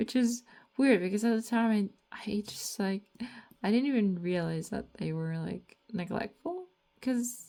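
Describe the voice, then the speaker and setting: A woman talking at a fairly slow pace. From Latvia. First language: Latvian. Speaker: artist and comic author vlogger. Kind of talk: casual monologue vlog. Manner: rambling, hesitant with fillers.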